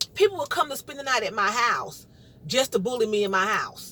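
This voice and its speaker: A raised, projected voice in a New York accent, bright and sharp in tone, with very wide pitch swings. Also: woman. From New York, Brooklyn. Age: 50s. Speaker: vlogger. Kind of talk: casual monologue. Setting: in a car. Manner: loud.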